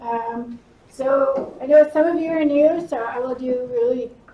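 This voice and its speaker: Noticeable background noise under speech with ordinary pitch variation. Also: woman. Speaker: university student success manager. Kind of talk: workshop presentation.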